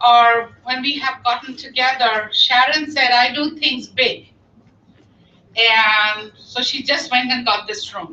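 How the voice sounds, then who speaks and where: In a raised, projected voice with a bright, sharp tone, a woman with a non-native accent speaks at a very slow pace, her high pitch showing ordinary variation. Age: 60s. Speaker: volunteer organizer. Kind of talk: speech to a meeting. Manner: animated.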